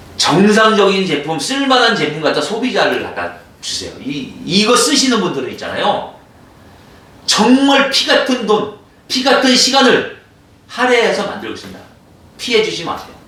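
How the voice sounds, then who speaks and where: A man speaks in a raised, projected voice with an animated tone at a moderate pace. He takes long, frequent pauses, and audible room echo surrounds him. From Korean province outside the capital area. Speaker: composite wood business owner. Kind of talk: product explainer video. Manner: animated, emphatic.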